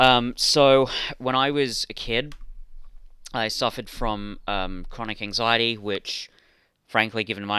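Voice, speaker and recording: The recording is very clean, with a silent background and a dry, close sound with no echo, as a man speaks at a medium pitch in a bright, sharp tone. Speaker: podcast co-host. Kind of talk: casual chat. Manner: halting.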